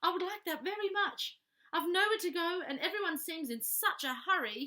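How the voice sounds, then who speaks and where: A woman does a put-on character voice, squeaky and extremely high-pitched. Her pace is moderate. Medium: read story. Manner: polite, earnest.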